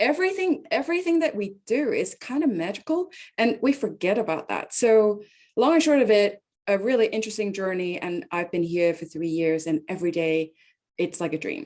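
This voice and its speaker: With a non-native accent, a woman at medium pitch speaks at a moderate pace, her pitch swinging very widely against a quiet background. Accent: noticeable non-native. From Hong Kong. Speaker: tech company executive. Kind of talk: interview chat. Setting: video call.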